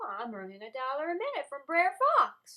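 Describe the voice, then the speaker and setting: A woman's put-on character voice, raised and projected, high-pitched, with very wide pitch swings at a fairly quick pace. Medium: stage play. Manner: glib, wheedling.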